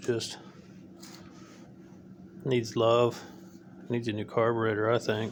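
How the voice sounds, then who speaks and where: Drawling at a fairly slow pace, a man speaks at medium pitch with long, frequent pauses. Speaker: home mechanic. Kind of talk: casual talk to camera. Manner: slow, low-energy drawl.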